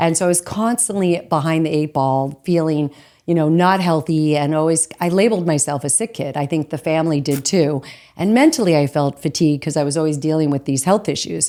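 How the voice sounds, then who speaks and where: Using an American accent, a woman speaks at a fairly quick pace. Her pitch is very deep and low, her tone dark and mellow. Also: ordinary pitch variation. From Arizona. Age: 60s. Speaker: holistic nutrition coach. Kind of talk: interview.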